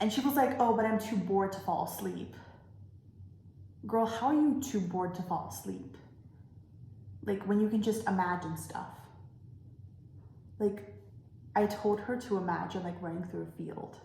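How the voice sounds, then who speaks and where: With audible room echo and noticeable background noise, a woman at a medium pitch talks with ordinary pitch variation and long, frequent pauses. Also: moderate pace. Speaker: vlogger. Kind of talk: casual monologue. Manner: loud when excited; casual, filler-heavy.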